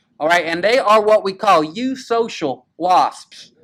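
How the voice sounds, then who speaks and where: A man talks in a Southern US accent at a high pitch. His intonation is lively. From US South. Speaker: high school football show host. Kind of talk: casual chat. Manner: animated.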